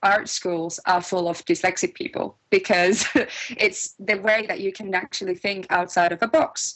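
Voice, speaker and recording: A woman speaks with a Finnish accent. Her pace is moderate. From Finland. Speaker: music producer and composer. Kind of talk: interview. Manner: halting, with fillers and restarts.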